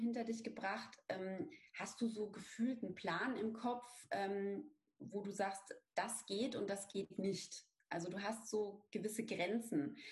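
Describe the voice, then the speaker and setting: At a fairly slow pace, an ordinary speaking voice shows ordinary pitch variation. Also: woman. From Bavaria, Lower Franconia (near Aschaffenburg). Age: 30s. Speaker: brand strategy consultant, business owner. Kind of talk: interview.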